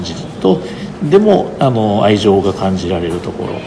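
Amid noticeable background noise and audible room echo, a man with a fairly low voice speaks at a moderate pace. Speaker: photographer's grandson, estate representative. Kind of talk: guided exhibition tour interview. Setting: photo exhibition venue.

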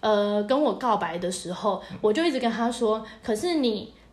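A woman speaks at a fairly quick pace with lively intonation and a fairly high pitch. Noticeable background noise sits behind her. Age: 30s. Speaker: podcast co-host. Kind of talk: casual chat.

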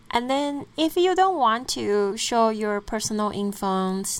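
A woman with a Chinese accent speaks very slowly, her pitch varying in an ordinary way. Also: very clean recording, silent background. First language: Mandarin Chinese. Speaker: podcast host. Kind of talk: storytelling monologue.

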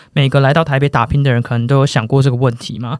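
In a very clean recording with a silent background, a man talks very fast at a fairly high pitch. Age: 20s. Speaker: podcast co-host. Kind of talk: casual chat.

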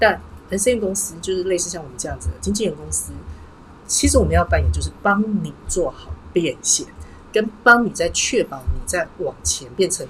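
Music plays in the background as a woman speaks. Her loudness swings widely. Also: moderate pace. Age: 40s. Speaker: livestream host and personal brand consultant. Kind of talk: livestream monologue. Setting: livestream.

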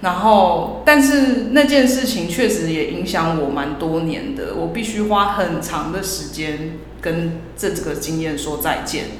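A woman with a fairly low pitch talks at a fairly slow pace with hardly any pauses and very wide pitch swings. Noticeable background noise and audible room echo are present. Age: around 30. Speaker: podcast co-host, former publishing worker. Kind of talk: casual chat.

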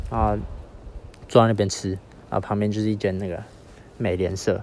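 Spoken at a moderate pace with a Taiwanese accent, the voice keeps a fairly even intonation. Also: man. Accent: Taiwanese Mandarin. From Taiwan, Yilan. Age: 20s. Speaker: podcaster on a walking trip. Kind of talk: spoken travel diary. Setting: outdoors. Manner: halting, many fillers.

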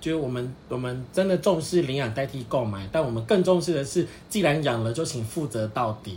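A normal speaking voice, a man at medium pitch. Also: lively intonation, fairly quick pace, hardly any pauses. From Taiwan, Pingtung. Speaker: podcast co-host, dog owner. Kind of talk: casual chat.

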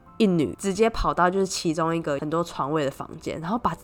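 Speaking at a very fast pace, a woman with a Taiwanese accent has a fairly low pitch. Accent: Taiwanese Mandarin. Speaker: podcast host. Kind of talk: casual solo storytelling monologue.

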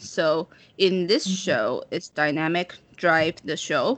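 Her pitch sits fairly low and shifts in an ordinary way. This woman talks very slowly. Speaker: podcast co-host. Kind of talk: casual chat.

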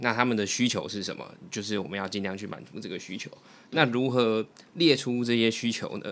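A man's unremarkable speaking voice at medium pitch, with ordinary pitch variation and big swings in loudness. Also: fairly quick pace. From Taiwan, Taipei. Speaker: guest experienced in job hunting. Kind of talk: casual chat.

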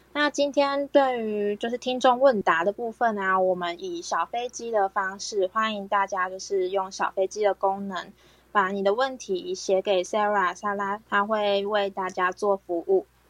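In an ordinary speaking voice, a woman talks at a fairly slow pace with hardly any pauses, a medium pitch and ordinary pitch variation, in a dry, close sound with no echo. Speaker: health educator hosting talk. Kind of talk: health education talk. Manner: many filler particles.

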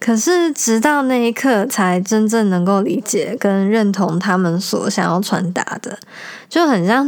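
Speaking in an ordinary speaking voice, a woman uses lively intonation at a medium pitch. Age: 20s. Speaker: podcast host. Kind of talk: casual monologue; reading aloud.

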